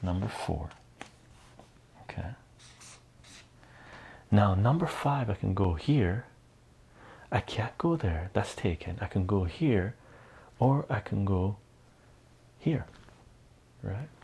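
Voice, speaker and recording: With long, frequent pauses, a man speaks in a dark, mellow tone at a fairly low pitch, sounding somewhat breathy. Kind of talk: ASMR math lesson, casual teaching talk. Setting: studio, close-mic ASMR recording.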